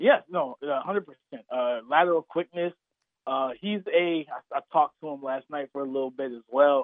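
In a normal speaking voice, a man talks at a moderate pace with fairly high pitch, ordinary pitch variation and big swings in loudness. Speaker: football draft analyst. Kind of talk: sports radio interview. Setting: phone call.

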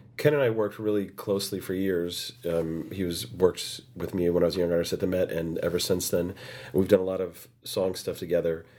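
A raspy man with an American accent speaks in a very deep, low voice with ordinary pitch variation. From United States. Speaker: opera singer. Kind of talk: interview.

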